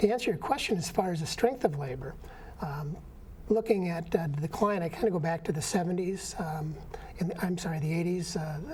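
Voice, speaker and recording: A man's high-pitched voice with an American accent, over noticeable background noise. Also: ordinary pitch variation, fairly quick pace. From Minnesota, Saint Paul. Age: 70s. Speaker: union activist and peace veteran. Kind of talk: interview. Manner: halting, many fillers.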